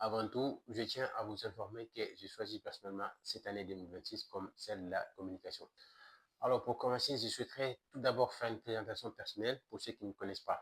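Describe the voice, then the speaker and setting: A somewhat breathy man's voice at medium pitch, fairly quick, with fairly even intonation. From Mali. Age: 30s. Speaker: activist and entrepreneur. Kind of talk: political presentation to camera.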